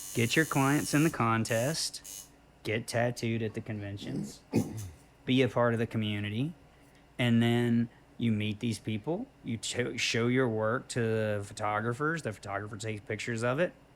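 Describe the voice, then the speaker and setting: A plain, everyday voice in an American accent, at a moderate pace with ordinary pitch variation. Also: man, medium pitch for a man. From US South, South Carolina. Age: 50s. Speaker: tattoo artist and musician. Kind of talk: casual interview chat. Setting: tattoo shop.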